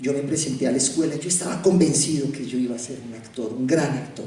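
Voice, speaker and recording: A man speaks with a Colombian accent and ordinary pitch variation, with noticeable background noise and audible room echo. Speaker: theatre director and actor. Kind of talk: public talk. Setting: university hall with audience.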